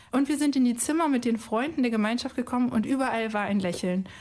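A plain, everyday voice, a woman's, fairly high in pitch with ordinary pitch variation, on a very clean recording with a silent background. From Cologne, Germany. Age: 30s. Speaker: biostatistician. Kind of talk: recorded testimony.

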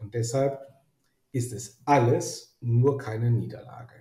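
A man speaks at a fairly slow pace and medium pitch. His voice is somewhat breathy, with a dark, mellow tone. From Germany, Rhineland (Neuss). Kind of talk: interview. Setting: online call from his office.

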